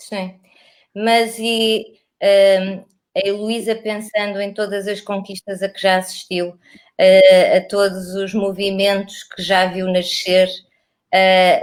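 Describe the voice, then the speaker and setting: A woman's medium-pitched voice with a European Portuguese accent, monotone, flat intonation and a very slow pace. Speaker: interviewer, library program host. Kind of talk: interview.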